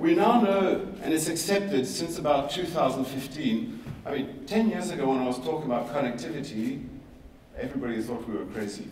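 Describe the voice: With audible room echo, a man speaks at a medium pitch and a fairly quick pace, his tone slightly mellow and his intonation lively.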